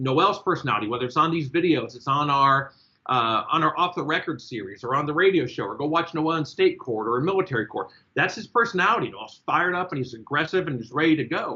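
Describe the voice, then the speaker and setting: Talking at a very fast pace, a man sounds animated, with lively intonation and a fairly high pitch. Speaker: court-martial defense lawyer. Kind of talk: casual discussion. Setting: group call.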